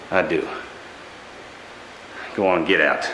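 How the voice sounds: Doing a put-on character voice, a man speaks slowly in a low pitch with ordinary pitch variation. His tone is bright and sharp, and audible room echo surrounds it.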